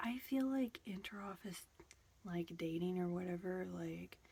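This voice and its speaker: This woman is soft-spoken, with a relaxed tone and a somewhat breathy quality. Her pitch sits at a medium level and varies in an ordinary way. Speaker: booktuber / ASMR creator. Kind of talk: soft-spoken ASMR book chat to camera. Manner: soft-spoken, relaxed, casual.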